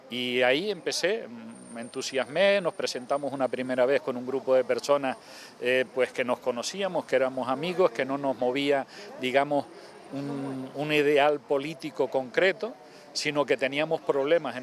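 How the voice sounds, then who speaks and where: This man's pitch sits fairly high, with ordinary variation. Noticeable noise runs in the background. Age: 60s. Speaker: local politician. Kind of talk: interview.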